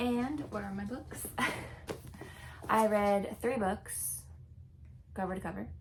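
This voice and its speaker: A woman is speaking. Noticeable background noise and audible room echo come through. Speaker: book vlogger. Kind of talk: casual vlog talk. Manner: mumbling; casual, halting.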